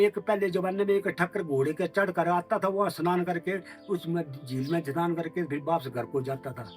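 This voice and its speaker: Music plays in the background. A man speaks in a high voice. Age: 70s. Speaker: shepherd. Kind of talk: interview answer.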